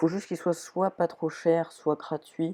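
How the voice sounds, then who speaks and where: A woman speaks in a dark, mellow tone. The recording is very clean with a silent background, and the sound is dry and close with no echo. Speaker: gaming youtuber. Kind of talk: gameplay commentary. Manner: halting.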